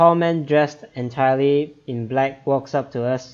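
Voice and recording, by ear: Ordinary pitch variation, a natural voice reading aloud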